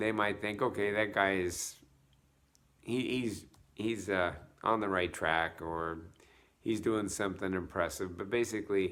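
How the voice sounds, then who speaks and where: Pausing long and often, a man speaks at a fairly low pitch with fairly even intonation. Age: 60s. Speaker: fitness vlogger. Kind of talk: casual vlog monologue. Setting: at home. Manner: halting, many fillers and restarts.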